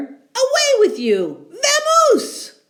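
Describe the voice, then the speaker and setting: The put-on character voice is squeaky. Its pitch is extremely high. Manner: annoyed, commanding.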